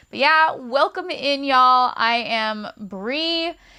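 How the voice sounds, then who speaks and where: A woman's raised, projected voice has a high pitch and a bright, sharp tone. The recording is very clean, with a silent background. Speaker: book reviewer. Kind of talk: casual chat. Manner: casual, conversational with fillers.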